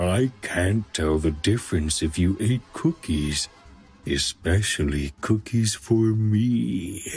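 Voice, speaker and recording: A man's cartoonish character voice, very deep and low, at a fairly slow pace with music in the background. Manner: terse, broken words.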